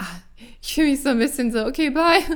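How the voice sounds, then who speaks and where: In a very clean recording with a silent background, a woman talks at a fairly quick pace, her pitch swinging very widely. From Germany, Mönchengladbach (Lower Rhine). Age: 30s. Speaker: podcast host and coach. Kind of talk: casual solo monologue. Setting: at home.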